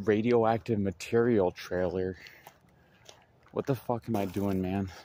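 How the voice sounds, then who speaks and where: A man talks at a fairly slow pace with a fairly low pitch and fairly even intonation, in a dry sound with no echo. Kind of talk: casual vlog chat. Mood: nervous, spooked. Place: rain. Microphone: phone near.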